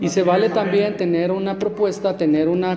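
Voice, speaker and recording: Fairly even intonation and a moderate pace come through over noticeable background noise and audible room echo. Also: man. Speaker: lay preacher. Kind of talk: sermon. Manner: stammering at times.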